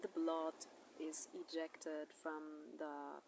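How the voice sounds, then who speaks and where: A woman at a very slow pace. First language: German. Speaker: birth educator. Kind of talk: educational talk. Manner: halting.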